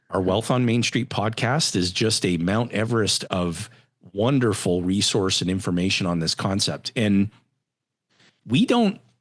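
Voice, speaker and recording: Here is an unremarkable speaking voice: a man with a Canadian accent, fairly low pitch and ordinary pitch variation. He talks at a fairly slow pace with very even loudness over a quiet background. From Canada, Edmonton, Alberta. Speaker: financial firm CEO. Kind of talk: podcast interview.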